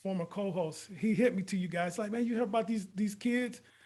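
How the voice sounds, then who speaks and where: A man talks in a high pitch with ordinary pitch variation. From Robbins, Illinois, suburbs of Chicago. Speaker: podcast host. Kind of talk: casual interview. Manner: animated.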